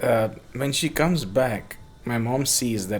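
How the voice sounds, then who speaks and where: Music plays in the background as a man with a South Indian accent speaks at a medium pitch with ordinary pitch variation. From Bangalore, South India. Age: 30s. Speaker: skateboarder and skate-park builder. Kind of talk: casual chat.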